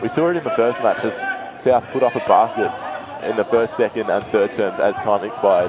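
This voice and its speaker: A man speaks with an Australian accent. Noticeable background noise sits behind him. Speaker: basketball commentator. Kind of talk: live commentary.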